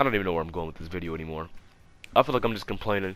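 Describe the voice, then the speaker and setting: Rattling along at a very fast pace, a man speaks with a very deep, low pitch. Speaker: gaming youtuber. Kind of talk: casual chat. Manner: stuttering; low energy.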